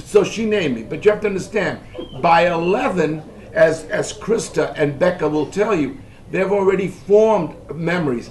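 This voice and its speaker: Moderate pace and ordinary pitch variation, amid noticeable background noise and audible room echo. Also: man, high pitch for a man. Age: 70s. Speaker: family elder recounting history. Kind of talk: family oral history interview.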